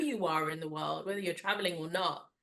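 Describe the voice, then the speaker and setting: A woman with a London accent speaks in a bright, sharp tone. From London, England. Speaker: wellness podcast host. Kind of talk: interview conversation. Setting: video call.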